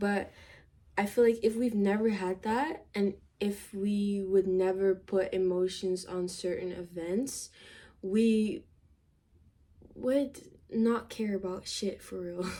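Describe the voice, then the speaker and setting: In a non-native accent, the speaker talks at a very slow pace with long, frequent pauses, fairly even intonation and a dark, mellow tone. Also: woman, medium pitch for a woman. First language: not English. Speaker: vlogger. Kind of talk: casual chat. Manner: halting.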